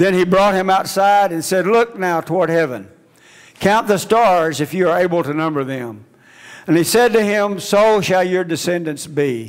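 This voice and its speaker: The pitch varies in an ordinary way at a moderate pace. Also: man. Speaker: preacher. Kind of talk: sermon. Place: church. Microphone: headset.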